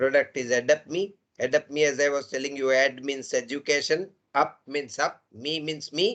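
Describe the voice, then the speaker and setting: A man's fairly high voice at a moderate pace, with a Gujarati accent. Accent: Indian English, Gujarati. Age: 70s. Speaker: engineering professor. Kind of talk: lecture. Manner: animated.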